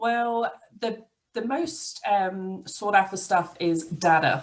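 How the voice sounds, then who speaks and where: With lively intonation, a woman speaks in an English accent. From England. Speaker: IT business owner. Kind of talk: podcast interview.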